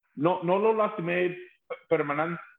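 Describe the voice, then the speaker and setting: Pitched high, a man's voice moves with ordinary variation. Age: 50s. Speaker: rock singer. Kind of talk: casual chat. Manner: halting.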